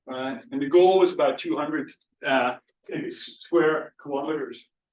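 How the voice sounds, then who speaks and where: A man with a Scottish accent at a moderate pace and a fairly high pitch. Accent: Scottish, still noticeable. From Scotland. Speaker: physical oceanographer, professor. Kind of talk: lecture. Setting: lecture hall with audience and Zoom. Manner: halting, many fillers and repeats.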